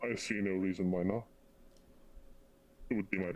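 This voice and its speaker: A man in a put-on character voice, very deep and low in pitch, at a fairly quick pace. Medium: actual play. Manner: hesitant, polite, formal.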